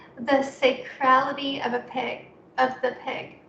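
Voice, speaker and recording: Audible room echo surrounds a woman's speech. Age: 20s. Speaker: poet. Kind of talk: poetry reading. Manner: halting.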